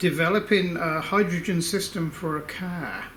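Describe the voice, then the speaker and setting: Heard through noticeable background noise and audible room echo, the speaker has an Australian accent and fairly even intonation. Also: man. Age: 60s. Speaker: inventor and engineer. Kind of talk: casual video update to supporters. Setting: workshop. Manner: hesitant, many fillers.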